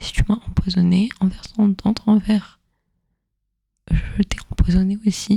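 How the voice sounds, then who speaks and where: The voice has a gentle tone and moves at a fairly slow pace. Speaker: ASMR storyteller / content creator. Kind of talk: soft spoken ASMR educational narration. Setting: close microphone, headphones listening. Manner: soft-spoken, gentle, relaxing.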